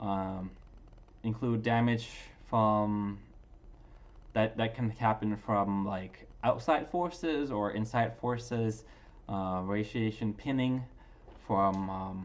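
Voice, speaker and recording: A man with a non-native accent speaks at a fairly low pitch. His pace is fairly slow and his pitch varies in an ordinary way. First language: not English. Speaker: graduate student. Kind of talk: class presentation. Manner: halting, many fillers.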